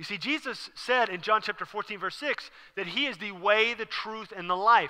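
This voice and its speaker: Projecting a raised voice with a bright, sharp tone, a man speaks at a moderate pace over a quiet background. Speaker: preacher. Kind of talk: sermon. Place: church. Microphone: headset.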